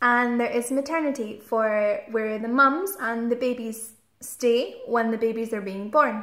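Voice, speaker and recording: Speaking slowly-ish at a fairly slow pace in a west central Scottish accent, a woman uses a high pitch with ordinary pitch variation. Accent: Scottish (west central Scotland). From Scotland. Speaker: guest explaining the health system to students. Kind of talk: informal explanation to foreign students. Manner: clear, simple speech for language learners.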